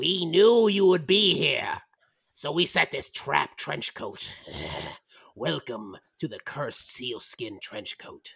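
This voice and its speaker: Put-on character voice from a man, delivered at a fairly slow pace. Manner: gleeful, mocking, trap-springing.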